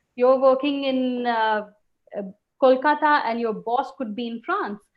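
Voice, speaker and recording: A woman with an Indian accent, high-pitched, at a fairly slow pace with ordinary pitch variation. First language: Hindi. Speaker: webinar host, communication coach. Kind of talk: webinar presentation.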